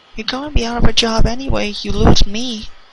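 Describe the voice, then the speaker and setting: Using a put-on character voice, a woman speaks at a fairly quick pace with a fairly high pitch. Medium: read story. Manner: sad, nervous.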